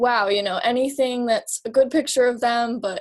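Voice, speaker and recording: Using an ordinary speaking voice, a woman talks in a fairly high pitch with fairly even intonation. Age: 20s. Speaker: photographer. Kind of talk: casual chat.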